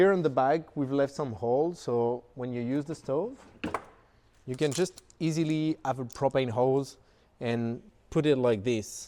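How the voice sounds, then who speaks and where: A man with a strong French accent speaks in a dark, mellow tone at a medium pitch. His pace is fairly slow and his pitch variation ordinary. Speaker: company founder. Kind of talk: product tour. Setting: showroom. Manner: casual, with filler words.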